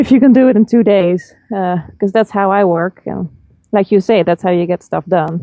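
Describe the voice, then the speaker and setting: A woman with a Dutch accent, ordinary pitch variation and a fairly quick pace. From Netherlands. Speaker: film composer and vocalist. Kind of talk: interview. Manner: halting.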